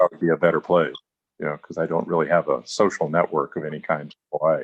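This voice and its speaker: A man with an Alaskan accent speaks at a fairly quick pace, and the sound is dry and close with no echo. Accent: American, Alaska. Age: 60s. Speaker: writer and filmmaker. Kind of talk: life story interview. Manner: halting.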